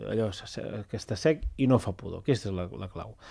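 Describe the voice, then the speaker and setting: A man talks with a dark, mellow tone at a medium pitch. The recording is very clean, with a silent background. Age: 40s. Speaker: public agency director. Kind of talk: radio interview.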